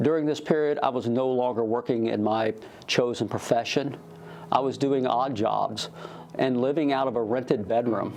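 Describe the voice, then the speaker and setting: This is an ordinary speaking voice with an American accent. It moves at a moderate pace with fairly even intonation. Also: man, medium pitch for a man. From US Midwest, rural Missouri. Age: 60s. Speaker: church member being baptized. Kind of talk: testimony.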